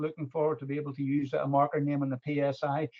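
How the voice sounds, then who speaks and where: A man talks in an Irish accent at a fairly quick pace. His pitch sits fairly high. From Ireland. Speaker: golf club manager or secretary. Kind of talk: webinar question. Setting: online webinar. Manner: halting.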